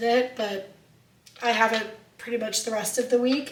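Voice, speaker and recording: A woman's fairly high voice at a moderate pace, with noticeable background noise and audible room echo. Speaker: lifestyle vlogger. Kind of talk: casual vlog talk. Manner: casual, conversational.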